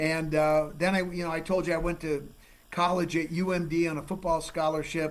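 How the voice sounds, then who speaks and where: In a room with audible echo, a man talks at a moderate pace, his pitch fairly high and his intonation monotone and flat. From Minnesota. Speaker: forensic geologist, TV host. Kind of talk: casual interview chat. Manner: loud.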